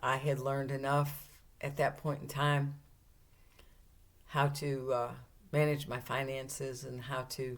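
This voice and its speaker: A woman with a very deep, low pitch speaks fairly slowly in a flat monotone, leaving long, frequent pauses. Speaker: retiree. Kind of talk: personal memoir talk to camera.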